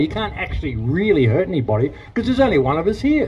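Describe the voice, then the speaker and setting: Against noticeable background noise, a man with an Australian accent talks at a very fast pace, his fairly high pitch swinging very widely. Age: 60s. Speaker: protest speaker. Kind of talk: rally speech and Q&A. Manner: animated.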